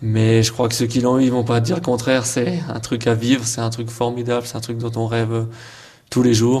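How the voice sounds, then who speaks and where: Audible room echo surrounds a man speaking in a flat monotone at a medium pitch. His voice is somewhat breathy, with a dark, mellow tone. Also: moderate pace. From eastern France, Haute-Saône. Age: 20s. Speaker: show jumping rider. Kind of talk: interview.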